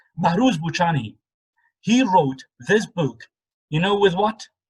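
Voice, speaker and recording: Someone speaks at a fairly slow pace with a Kurdish accent. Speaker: English teacher leading a book club. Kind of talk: online discussion group. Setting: video call.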